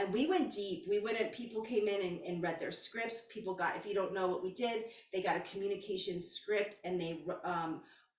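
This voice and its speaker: An animated tone comes through audible room echo and noticeable background noise. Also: woman, medium pitch for a woman, ordinary pitch variation, moderate pace, hardly any pauses. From Texas. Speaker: spiritual coach. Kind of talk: casual vlog monologue.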